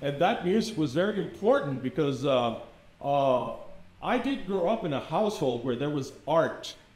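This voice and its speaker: Audible room echo surrounds a voice moving at a moderate pace with very wide pitch swings. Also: man, fairly high pitch for a man. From US Southwest, El Paso Texas. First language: Spanish. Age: 60s. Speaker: experimental filmmaker. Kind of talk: artist talk. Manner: casual, with many repetitions and fillers.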